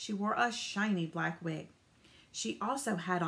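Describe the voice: Pitch shifts in an ordinary way throughout this plain reading aloud.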